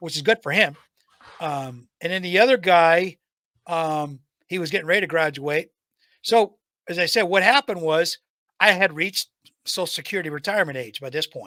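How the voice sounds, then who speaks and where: A high-pitched man talks at a fairly quick pace in a bright, sharp tone, with big swings in loudness and long, frequent pauses. The recording is very clean with a silent background, and the sound is dry and close with no echo. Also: ordinary pitch variation. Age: 60s. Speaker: retired IT technician and trainer, podcast guest. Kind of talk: casual chat.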